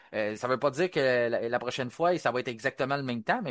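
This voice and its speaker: Speaking very fast with a Quebec accent, a man holds a medium pitch with ordinary variation against a quiet background, the sound dry and close with no echo. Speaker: podcast host. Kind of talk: casual panel discussion.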